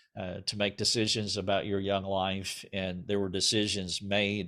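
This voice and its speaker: In a very clean recording with a silent background, a man with a Southern US accent speaks at a moderate pace in a fairly low pitch. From US South. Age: 60s. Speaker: interview host. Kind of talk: interview. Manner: halting, many fillers.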